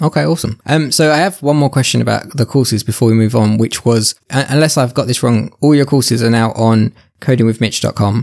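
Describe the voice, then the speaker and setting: With ordinary pitch variation, this man's voice stays at a medium pitch. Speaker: podcast host. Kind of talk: interview conversation. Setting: video call.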